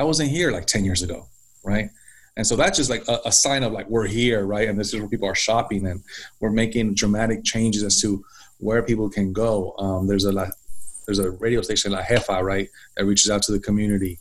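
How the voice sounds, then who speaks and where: A man with an American accent speaks at a fairly quick pace in a fairly low voice, using fairly even intonation and a plain, everyday voice, on a very clean recording with a silent background. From San Francisco Bay Area, California (Mission district). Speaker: nonprofit deputy director and city council member. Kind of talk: casual interview chat.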